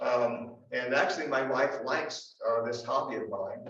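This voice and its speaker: With audible room echo, a man of medium pitch speaks with an American accent. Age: 70s. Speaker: historian. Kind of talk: lecture.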